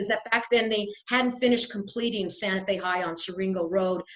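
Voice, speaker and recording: A woman speaks fairly quickly at medium pitch, her intonation fairly even. Noticeable background noise can be heard. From Santa Fe, New Mexico. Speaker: real estate guide. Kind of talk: interview questions.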